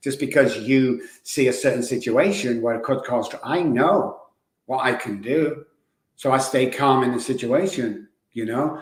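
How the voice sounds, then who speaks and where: Audible room echo surrounds a man speaking at medium pitch. He keeps a moderate pace with ordinary pitch variation. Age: 60s. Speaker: addiction recovery expert. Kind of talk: podcast interview. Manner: animated.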